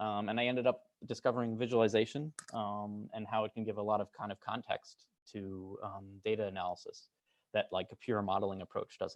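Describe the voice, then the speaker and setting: In a normal speaking voice, a man talks fairly quickly at a fairly low pitch with fairly even intonation. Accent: American. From United States (moved around). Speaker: computer science researcher. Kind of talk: lecture. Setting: lab talk with audience. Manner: many filler words (um, uh).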